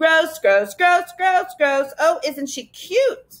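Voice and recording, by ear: Using a put-on character voice, a woman speaks slowly at an extremely high pitch with lively intonation.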